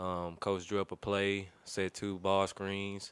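The sound is dry, with no echo. A man talks in a very deep, low voice with a monotone, flat intonation. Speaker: college basketball player. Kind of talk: press conference. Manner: hesitant, many fillers. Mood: subdued after a close loss. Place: meeting room. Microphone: podium.

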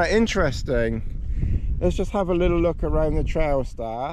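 The sound is dry, with no echo, as a man speaks. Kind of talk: casual vlog chat. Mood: cheerful, laughing. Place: open country. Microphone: phone near.

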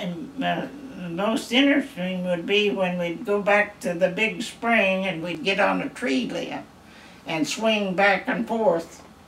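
There is audible room echo and light background noise as a woman speaks at a very slow pace with ordinary pitch variation. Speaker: retired farm woman. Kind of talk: interview answer. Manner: casual storytelling. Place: home room. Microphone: camera far.

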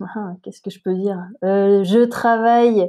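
A woman's voice has a dark, mellow tone, a medium pitch and ordinary pitch variation. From southern France (Montpellier). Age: 30s. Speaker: amateur ultra-trail runner. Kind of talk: interview, personal story. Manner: hesitant, many fillers.

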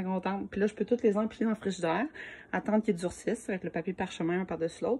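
Speaking very fast with a somewhat breathy, dark and mellow tone, a woman talks in a Quebec accent. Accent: Québécois French. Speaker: home cooking video creator. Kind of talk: cooking tutorial. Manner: casual, with many hesitations. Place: kitchen. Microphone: phone near.

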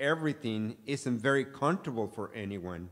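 The man talks at a slow pace, his intonation lively throughout.

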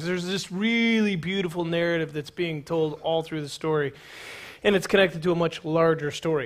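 A man speaks at a fairly quick pace in a high voice with a bright, sharp tone. His intonation stays fairly even against a quiet background. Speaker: pastor. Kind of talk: sermon. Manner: fast. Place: church. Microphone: headset.

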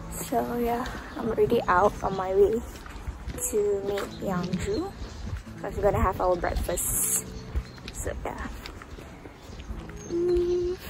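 A woman talks at a very slow pace with long, frequent pauses, her dry sound free of echo but set against noticeable background noise. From Malaysia. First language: Malay. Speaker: student vlogger. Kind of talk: casual vlog. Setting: outdoors. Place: street. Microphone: phone near.

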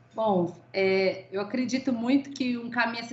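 Audible room echo around a woman speaking at a moderate pace, enthusiastic in tone, with ordinary pitch variation. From Brazil. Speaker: engineering manager; webinar panelist. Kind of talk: panel discussion. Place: home room. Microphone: video call.

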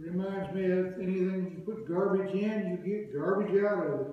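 A man's high-pitched voice at a moderate pace, with strong room echo. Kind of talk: storytelling to an audience. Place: church. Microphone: camera far.

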